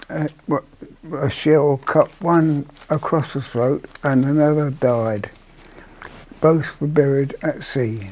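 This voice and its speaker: A man speaks at a very slow pace with long, frequent pauses and ordinary pitch variation. Noticeable background noise runs underneath. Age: 80s+. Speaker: war veteran. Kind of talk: interview. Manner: halting.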